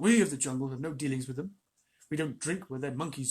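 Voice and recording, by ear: The background is quiet while a speaker reads aloud in a natural voice.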